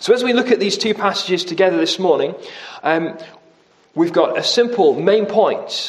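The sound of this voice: An unforced reading voice carries the text.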